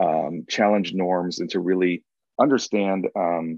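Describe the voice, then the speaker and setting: A man with a Chicago accent speaks at a very deep, low pitch. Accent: Chicago American English. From US Midwest, north side of Chicago. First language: Spanish. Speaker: diversity and inclusion consultant. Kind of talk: webinar talk. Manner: many filler words and hesitations.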